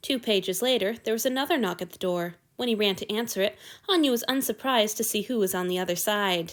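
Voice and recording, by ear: Text is being read aloud. It comes in a natural voice.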